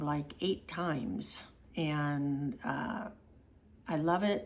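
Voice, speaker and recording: A woman speaks very slowly in a fairly low voice. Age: 60s. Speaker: travel vlogger and walking tour organizer. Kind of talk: casual vlog monologue. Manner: casual, with frequent fillers.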